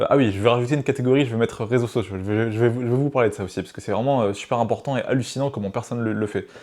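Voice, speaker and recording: Recorded very cleanly over a silent background, a man talks at a medium pitch with ordinary pitch variation. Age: 20s. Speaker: business coach YouTuber. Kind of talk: tutorial. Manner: fast; animated.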